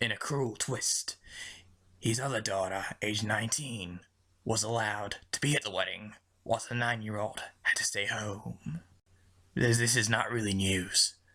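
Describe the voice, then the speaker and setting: A put-on character voice delivered at a moderate pace with fairly even intonation. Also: man. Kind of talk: parody news report. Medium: comedy sketch. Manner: casual, breezy.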